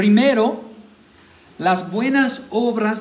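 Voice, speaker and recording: A man with an American accent speaks at an extremely high pitch, and the room echo is audible. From US South, Mississippi. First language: English (speaking Spanish). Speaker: pastor. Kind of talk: sermon. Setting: church.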